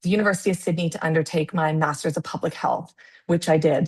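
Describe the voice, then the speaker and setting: Against a quiet background, a woman with a Canadian accent talks at a fairly quick pace in a somewhat breathy voice with a fairly low pitch. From Canada. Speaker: public health researcher. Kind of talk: webinar presentation. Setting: video call. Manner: halting, many fillers.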